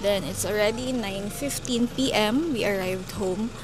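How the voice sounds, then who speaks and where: Someone talks at a fairly slow pace with ordinary pitch variation, with audible room echo and noticeable background noise. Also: woman. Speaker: vlogger. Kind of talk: casual vlog talk to camera. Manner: serious-sounding, not lively.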